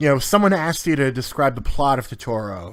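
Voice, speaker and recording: Man with an unremarkable speaking voice, fairly high pitch, and lively intonation. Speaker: podcast co-host. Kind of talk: casual chat.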